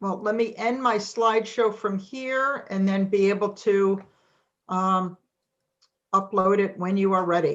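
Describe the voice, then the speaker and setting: Speaking at a fairly slow pace with fairly even intonation, a woman talks in a New England accent. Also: medium pitch for a woman. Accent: New England, non-Texas. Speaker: financial services presenter. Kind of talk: webinar presentation.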